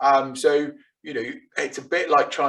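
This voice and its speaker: In a British accent, a man speaks fairly quickly. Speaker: digital marketing and tech speaker. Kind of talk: webinar presentation. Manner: fast.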